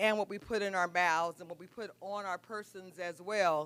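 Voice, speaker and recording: The recording is very clean, with a silent background. A woman speaks at a moderate pace in a plain, everyday voice, with medium pitch and ordinary pitch variation. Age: 60s. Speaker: juice business owner. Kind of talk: live presentation.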